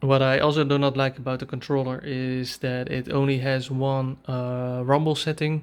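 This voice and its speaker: Monotone, flat speech from a man with a Dutch accent at medium pitch, moderate pace and hardly any pauses. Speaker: tech reviewer / YouTuber. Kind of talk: product review tutorial. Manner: halting, many fillers.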